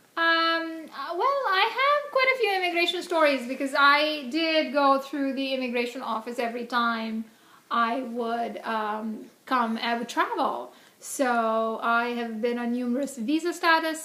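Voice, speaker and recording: Speaking in an Indian accent, a woman projects a raised, high-pitched voice at a fairly slow pace with ordinary pitch variation, and audible room echo surrounds her. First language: Hindi. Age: 40s. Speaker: interviewee, immigrant parent. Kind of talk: casual interview. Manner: many fillers (um, uh).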